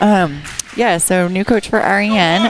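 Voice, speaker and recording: With music in the background, a woman speaks at a medium pitch with fairly even intonation. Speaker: color commentator. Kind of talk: live sports commentary. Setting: school gym.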